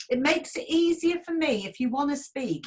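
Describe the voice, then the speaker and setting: Lively intonation at a moderate pace in a Yorkshire accent. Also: woman. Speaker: event host and broadcaster. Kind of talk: online event moderation. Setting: video call.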